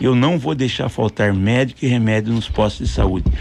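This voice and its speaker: There is vocal fry in this man's voice. He talks at a moderate pace with ordinary pitch variation. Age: 60s. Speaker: mayoral candidate. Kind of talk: radio interview.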